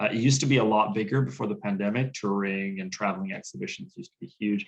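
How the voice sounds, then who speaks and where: A man talks at a very fast pace. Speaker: grant writing consultant. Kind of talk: webinar presentation.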